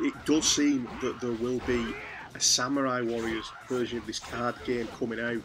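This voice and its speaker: A man's medium-pitched voice with a strong British accent, monotone and flat, over noticeable background noise. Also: moderate pace. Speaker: gaming YouTuber. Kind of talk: casual commentary video.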